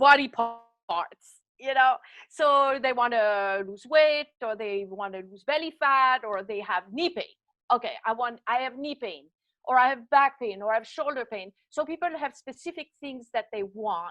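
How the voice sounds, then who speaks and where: With a Swiss French accent, a woman speaks in a high voice at a fairly slow pace. Her intonation is lively, and her loudness shows big swings. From French-speaking Switzerland. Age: 60s. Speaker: body designer, fitness coach. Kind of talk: interview.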